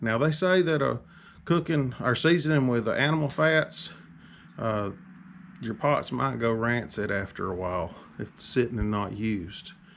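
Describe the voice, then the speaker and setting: Pausing long and often, a man with a Southern US accent speaks at a medium pitch with very wide pitch swings. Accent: Southern US drawl. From Alabama. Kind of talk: casual talk to camera.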